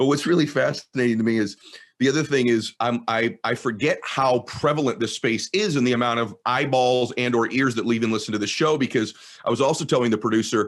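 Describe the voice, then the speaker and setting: A man with an American accent speaks fairly quickly in an ordinary speaking voice, medium in pitch with ordinary pitch variation. His loudness stays very even against a quiet background. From Southern California. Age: middle-aged. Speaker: podcast host. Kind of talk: casual chat.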